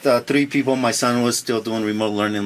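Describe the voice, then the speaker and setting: Over noticeable background noise, a man talks at a very fast pace in a monotone, flat intonation. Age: 40s. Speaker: mortgage lender. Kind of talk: casual chat. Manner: halting, many fillers.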